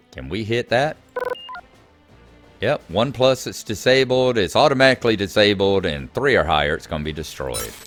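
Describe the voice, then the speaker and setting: A man's fairly low voice with very wide pitch swings, with music in the background. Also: moderate pace. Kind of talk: casual video game commentary.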